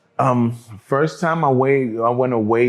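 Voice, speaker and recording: Here is a man with a New York accent and a medium pitch. He talks at a fairly slow pace with fairly even intonation. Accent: New York City. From New York City, Harlem. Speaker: cannabis entrepreneur, formerly incarcerated. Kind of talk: interview conversation.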